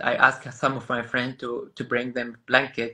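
A man's bright, sharp voice in a monotone, flat intonation against a quiet background. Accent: Arabic. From Gaza, Palestine. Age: 30s. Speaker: photographer. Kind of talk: interview. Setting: video call. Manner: halting. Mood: earnest, pleading. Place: home room. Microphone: video call.

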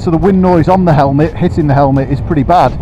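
Music plays behind a man with fairly even intonation. The sound is dry, with no echo. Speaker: shop staff reviewer. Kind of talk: product review commentary while riding. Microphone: helmet.

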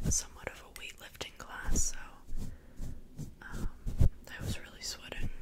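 A woman whispers with long, frequent pauses. Her loudness swings widely. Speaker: ASMR creator. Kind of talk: casual ASMR ramble to camera. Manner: whispered. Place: home room. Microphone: studio mic.

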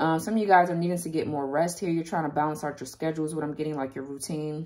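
The speaker uses fairly even intonation over a quiet background. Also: woman. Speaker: tarot reader. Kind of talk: tarot reading commentary. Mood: calm, relaxed, occasional laughs. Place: home room. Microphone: phone near.

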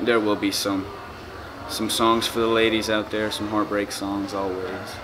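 Over noticeable background noise, a man speaks fairly slowly at a fairly low pitch in a monotone, flat intonation. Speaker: interviewee. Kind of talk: interview answer. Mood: laid-back, joking. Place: home room. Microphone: camera far.

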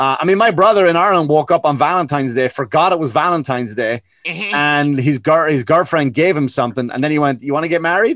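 Speaking at a very fast pace with hardly any pauses and ordinary pitch variation, the voice comes over a quiet background in a dry sound with no echo. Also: man, fairly high pitch for a man. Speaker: comedian. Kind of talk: casual comedic podcast chat. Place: home room. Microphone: video call.

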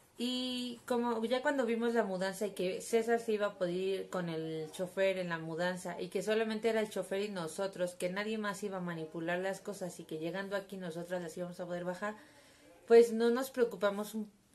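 Ordinary pitch variation from a woman talking at a fairly quick pace. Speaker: vlogger. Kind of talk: casual vlog chat. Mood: wry, storytelling. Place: home room. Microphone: phone near.

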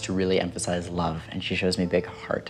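A man talks at a fairly quick pace with a very deep, low pitch. There is faint music in the background. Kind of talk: reading delivered to a sitter, conversational. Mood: warm, earnest, smiling. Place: home room.

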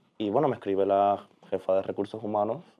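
Fairly quick male speech over a quiet background. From Cuba, Holguín; Cuba. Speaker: pianist and social media manager; podcast guest. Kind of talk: interview. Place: studio.

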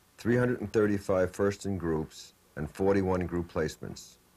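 A man with a very deep, low pitch. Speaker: announcer. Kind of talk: scripted narration.

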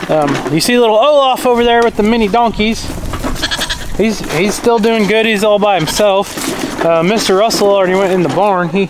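Over noticeable background noise, a man holds a very even loudness at a high pitch. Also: ordinary pitch variation, moderate pace. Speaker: farmer vlogger. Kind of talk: casual vlog chat. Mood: relaxed, mildly annoyed. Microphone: phone near.

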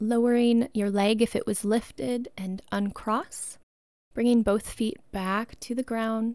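Soft-spoken and gentle, a woman talks very slowly in a soothing, fairly high voice with fairly even intonation, the sound dry with no echo over a quiet background. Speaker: yoga instructor. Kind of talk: guided meditation. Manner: slow, soothing, calm; gentle, unhurried, soft-spoken. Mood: calm, soothing bedtime tone.

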